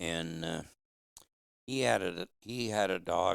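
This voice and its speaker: Speaking at a very slow pace, a man shows vocal fry and ordinary pitch variation. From Michigan. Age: 70s. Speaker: hound hunter. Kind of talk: casual interview. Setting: in person, Upper Peninsula.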